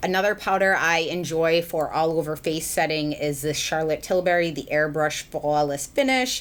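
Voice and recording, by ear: A woman with a low voice speaks at a moderate pace.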